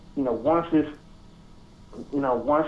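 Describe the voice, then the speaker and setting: A man's fairly high voice in a monotone, flat delivery. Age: young. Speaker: podcast guest, music fan. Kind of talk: casual chat.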